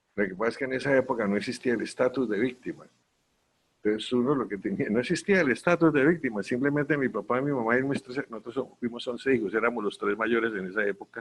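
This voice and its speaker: A man's medium-pitched voice at a very fast pace. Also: ordinary pitch variation. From Colombia, Quindío region. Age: 70s. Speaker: civil society leader, honorary member of NGO confederation. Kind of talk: virtual conference talk. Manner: halting, many restarts and repetitions.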